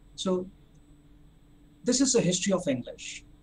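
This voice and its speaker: At a moderate pace, a man speaks with lively intonation and a high pitch. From India. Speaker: spoken English tutor. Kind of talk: online lecture. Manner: halting, with fillers.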